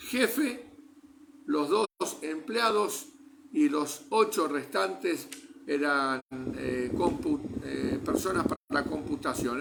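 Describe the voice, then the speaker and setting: The speech moves at a very slow pace, its pitch swinging very widely. Noticeable background noise runs underneath. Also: man. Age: 60s. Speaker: churchgoer giving testimony. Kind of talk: testimony. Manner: hesitant, many filler sounds.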